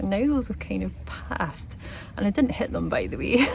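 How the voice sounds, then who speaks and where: In a Scottish accent, a woman talks in a relaxed tone at a fairly quick pace, with audible room echo and noticeable background noise. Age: 40s. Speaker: travel vlogger. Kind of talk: vlog to camera. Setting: outdoors by the sea. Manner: relaxed, reflective.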